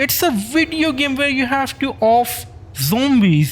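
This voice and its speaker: Speech comes at a fairly slow pace in a non-native accent. Noticeable background noise runs underneath. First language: not English. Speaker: gaming YouTuber. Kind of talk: casual monologue.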